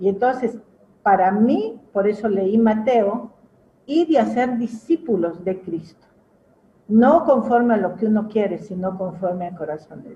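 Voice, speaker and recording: A woman speaks at a fairly slow pace in a somewhat breathy, dark, mellow tone, her fairly high pitch carrying lively intonation amid big swings in loudness. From Peru. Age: 70s. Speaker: pastor. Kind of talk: testimony.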